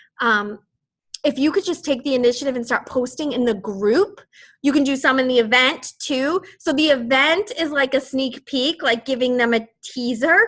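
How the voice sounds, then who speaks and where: A woman speaks in a Boston accent at a high pitch. Her pace is moderate and her pitch variation ordinary. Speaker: fitness team coach. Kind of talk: team call briefing. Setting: group call. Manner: casual, rambling with fillers.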